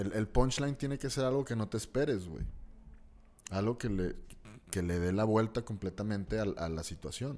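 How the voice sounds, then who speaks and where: A man speaks at a moderate pace with a Mexican accent, his fairly low voice dark and mellow in tone, with ordinary pitch variation. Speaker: comedian. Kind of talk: casual chat.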